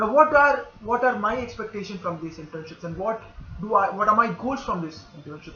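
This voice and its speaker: A man speaks at a fairly quick pace with a high pitch and lively intonation. Noticeable background noise is present. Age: 20s. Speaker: internship applicant. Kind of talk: application video monologue.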